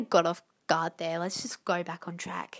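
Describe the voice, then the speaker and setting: At a moderate pace, a woman speaks with an Australian accent. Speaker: podcast host. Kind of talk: casual monologue. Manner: halting.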